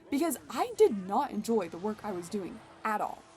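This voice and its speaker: Music plays behind the speaker. She is a woman with a fairly high pitch. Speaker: gaming streamer / video creator. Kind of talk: casual gameplay commentary with storytelling.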